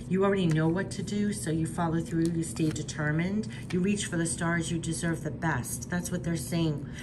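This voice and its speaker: The speech holds a very even loudness with ordinary pitch variation, a moderate pace and hardly any pauses. Room echo is audible, and background noise is noticeable. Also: woman, fairly low pitch for a woman. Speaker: tarot and oracle card reader. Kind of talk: spiritual card reading monologue.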